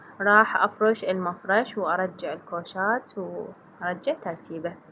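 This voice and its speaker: A woman with an Iraqi accent at a very slow pace, medium pitch and ordinary pitch variation. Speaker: home cleaning and cooking vlogger. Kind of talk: voiceover narration of a cleaning vlog.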